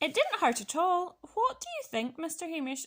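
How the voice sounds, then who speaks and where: In a squeaky, put-on character voice, a woman talks at a moderate pace with extremely high pitch. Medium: read story. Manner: polite, cheerful.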